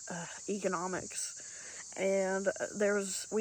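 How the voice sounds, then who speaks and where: A woman in an Appalachian accent speaks at medium pitch with monotone, flat intonation. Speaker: PhD holder. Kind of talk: casual talk to camera.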